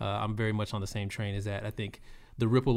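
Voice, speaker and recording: A man with a Texan accent speaks at a fairly low pitch in a monotone, flat delivery. The recording is very clean, with a silent background. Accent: Texan American. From Texas, South Austin. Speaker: cannabis company community relations manager, former educator. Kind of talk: casual interview.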